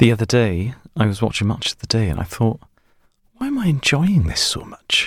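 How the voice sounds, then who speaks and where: A man's medium-pitched, somewhat breathy voice at a fairly quick pace with lively intonation. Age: 30s. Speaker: podcast host. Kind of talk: casual chat. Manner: halting.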